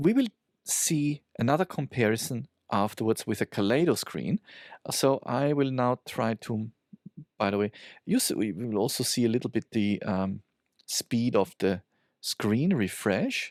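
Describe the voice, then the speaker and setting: A man speaks at a medium pitch with lively intonation and a non-native accent, leaving long, frequent pauses. The sound is dry and close with no echo, and the recording is very clean over a silent background. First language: not English. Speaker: tech reviewer. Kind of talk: product review. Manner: halting, many fillers.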